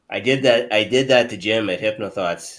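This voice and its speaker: A slight Canadian accent in a very clean recording with a silent background. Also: man. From Canada. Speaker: hypnotist show host. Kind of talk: casual chat.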